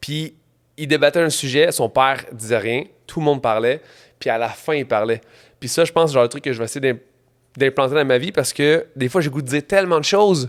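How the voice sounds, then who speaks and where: A speaker with a Quebec accent talks at a fairly quick pace but leaves long, frequent pauses. The pitch varies in an ordinary way on a very clean recording with a silent background. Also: man, fairly high pitch for a man. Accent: Québécois French. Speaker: entrepreneur and trail runner. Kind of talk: casual interview.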